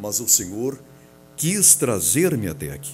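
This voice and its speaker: Music plays behind a man speaking at a medium pitch. The room echo is audible. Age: 60s. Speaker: pastor. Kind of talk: sermon. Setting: church auditorium. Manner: formal.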